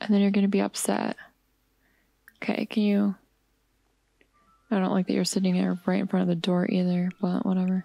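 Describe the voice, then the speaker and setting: Soft-spoken and relaxed, a woman talks at medium pitch in a dark, mellow tone, with monotone, flat intonation and very even loudness. Her pace is fairly quick between long, frequent pauses, and the sound is dry and close with no echo. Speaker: gamer. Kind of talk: casual gameplay commentary. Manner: soft-spoken, relaxed.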